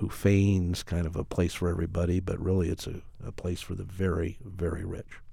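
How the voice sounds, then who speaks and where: A very deep, low-pitched male voice, dark, mellow and somewhat breathy, in a General American accent with fairly even intonation, on a very clean recording with a silent background. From Colorado. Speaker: mayor. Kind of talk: interview.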